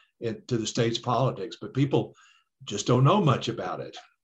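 The voice is somewhat breathy. It carries an American accent. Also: man. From Detroit, Michigan. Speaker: author and historian. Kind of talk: interview. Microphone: connection dropped out.

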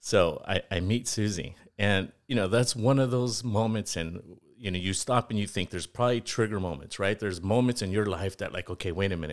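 A plain, everyday voice from a man with an American accent, fairly low in pitch, with ordinary pitch variation and a fairly quick pace, on a very clean recording with a silent background. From East Los Angeles. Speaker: financial and insurance advisor. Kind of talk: interview.

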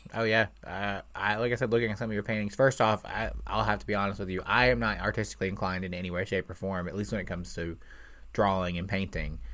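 A man with an American accent talks at a very fast pace, his fairly low voice carrying vocal fry. His pitch varies in an ordinary way. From Indiana, near Louisville. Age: 20s. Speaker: podcast host, aspiring comedian. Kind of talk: casual chat. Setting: video call.

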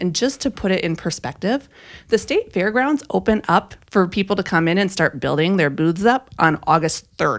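Over a silent background in a very clean recording, a woman talks at a moderate pace. Her intonation is lively. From Minnesota. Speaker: campaign volunteer. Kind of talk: casual chat.

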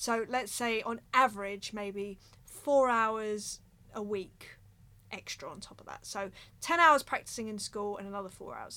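A woman with an English accent at medium pitch, bright and sharp in tone, at a moderate pace with ordinary pitch variation, on a very clean recording with a silent background. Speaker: drummer and podcast host. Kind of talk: casual monologue. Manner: animated.

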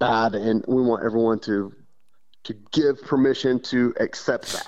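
A medium-pitched man's voice in a Texas accent. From West Texas. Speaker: bird hunting guide. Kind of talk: interview.

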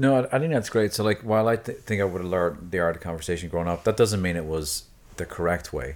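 This man talks very fast with an Irish accent, his pitch very deep and low. The recording is very clean, with a silent background. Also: ordinary pitch variation. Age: 50s. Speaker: podcast co-host. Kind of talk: casual chat. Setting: studio.

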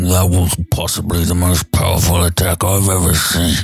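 A man puts on a character voice that is raspy and gruff, with a very deep, low pitch. He talks at a moderate pace in a flat monotone. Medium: actual play. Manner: crude, ungrammatical.

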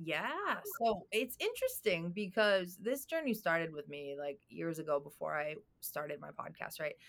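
Her pitch is fairly low and her intonation lively, a woman with a normal speaking voice. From Boston, US (born in Albania). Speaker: real estate developer and coach. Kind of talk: interview. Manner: fast.

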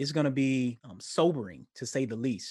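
At a moderate pace, a man talks in an ordinary speaking voice of medium pitch against a quiet background. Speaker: academic researcher.

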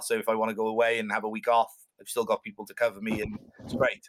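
Delivered very fast in a flat monotone with a Cardiff accent, the bright, sharp voice comes through a very clean recording with a silent background. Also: man. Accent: Welsh (Cardiff). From Wales, Cardiff. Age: 30s. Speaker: swim coach and endurance swimmer. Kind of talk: casual interview chat. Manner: halting, many fillers.

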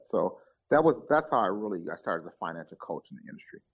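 Recorded very cleanly against a silent background, a man with an American accent talks at a medium pitch. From Minneapolis, Minnesota. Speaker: financial coach. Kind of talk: interview. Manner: halting.

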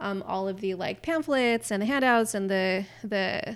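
A woman speaks in an ordinary speaking voice. Her pitch is fairly high, with ordinary variation. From California, with teen years in the Middle East. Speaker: graphic designer and nutrition writer. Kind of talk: casual interview chat.

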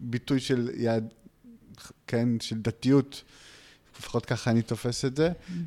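This man talks at a fairly slow pace and a medium pitch. His intonation stays fairly even. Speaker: podcast host. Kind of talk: casual chat. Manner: halting.

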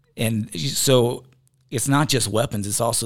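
On a very clean recording with a silent background, a man with a Southern US accent speaks with fairly even intonation. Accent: Southern US (Georgia). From US South, rural Georgia. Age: 30s. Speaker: reality TV personality and bison rancher. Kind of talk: casual interview. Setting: studio.

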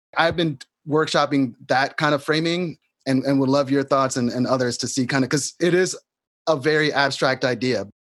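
A man with an American accent has an unremarkable speaking voice, fairly high in pitch, with fairly even intonation and very even loudness. The recording is very clean, with a silent background. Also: moderate pace. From New York City. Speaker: solidarity economy activist. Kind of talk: conversation between guests.

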